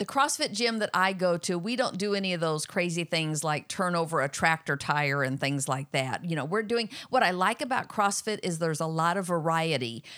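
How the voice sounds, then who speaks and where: With a plain, everyday voice, the speaker moves at a fairly quick pace with lively intonation and hardly any pauses, on a very clean recording with a silent background. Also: woman, fairly low pitch for a woman. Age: 60s. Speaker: host's mother. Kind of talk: casual Q&A.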